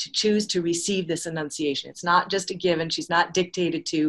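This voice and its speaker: An ordinary speaking voice uses fairly even intonation over a quiet background. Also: woman. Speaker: lecturer on astronomy and anthroposophy. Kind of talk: lecture.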